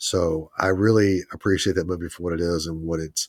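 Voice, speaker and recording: On a very clean recording with a silent background and a dry, close sound with no echo, a man speaks with very deep, low pitch and monotone, flat intonation. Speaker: podcast co-host. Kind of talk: casual chat.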